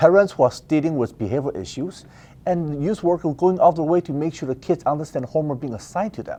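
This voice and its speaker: A man with a Mandarin accent talks very fast. His fairly high voice has a dark, mellow tone and ordinary pitch variation. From Taiwan, then Richmond BC from age eleven. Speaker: political candidate. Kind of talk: interview. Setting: office studio. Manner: fast when nervous.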